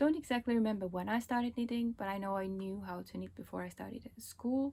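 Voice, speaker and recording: A woman talks at a very fast pace in a fairly high pitch with ordinary pitch variation. Her tone is dark and mellow, and somewhat breathy. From Estonia, Pärnu. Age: 40s. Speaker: knitting podcaster. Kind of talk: casual vlog talk. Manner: casual with frequent fillers.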